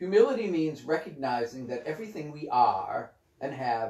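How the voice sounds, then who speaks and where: A man speaks at a moderate pace in a dark, mellow, somewhat breathy tone. The background is quiet, though there is audible room echo. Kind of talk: spiritual reading with commentary. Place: home room. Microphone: camera far.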